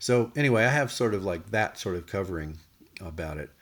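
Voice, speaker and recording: On a very clean recording with a silent background, a man speaks with ordinary pitch variation. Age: 60s. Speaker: music producer and former band manager. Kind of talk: personal recollections, monologue. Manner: casual, hesitant with many fillers.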